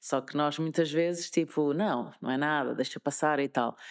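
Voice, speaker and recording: A woman with a Lisbon accent at a fairly slow pace, with ordinary pitch variation, on a very clean recording with a silent background. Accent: European Portuguese, Lisbon. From Lisbon, Portugal. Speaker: radio presenter. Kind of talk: interview answer. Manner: upbeat, positive.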